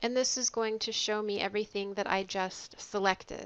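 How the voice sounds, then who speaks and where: A woman's bright, sharp voice, fairly high in pitch, at a moderate pace with monotone, flat intonation. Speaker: librarian. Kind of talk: tutorial. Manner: hesitant, many fillers.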